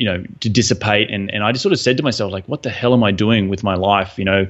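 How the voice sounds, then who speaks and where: Talking at a very fast pace, a man with an Australian accent keeps a fairly low pitch and fairly even intonation. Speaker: real estate investor. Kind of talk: interview. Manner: halting, many fillers.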